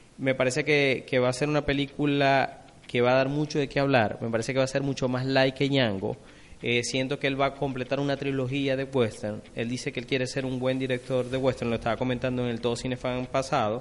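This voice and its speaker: Delivery comes at a fairly quick pace with monotone, flat intonation. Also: man, medium pitch for a man. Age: 30s. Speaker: film podcast co-host. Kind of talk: casual chat. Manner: halting.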